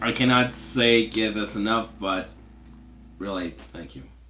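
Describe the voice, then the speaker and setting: Music plays behind a man whose voice sits fairly low and whose pitch moves in an ordinary way. He speaks very slowly, and room echo is audible. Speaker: YouTuber narrating fan fiction series. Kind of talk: casual outro talk to viewers. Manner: stuttering, many pauses; halting, many fillers.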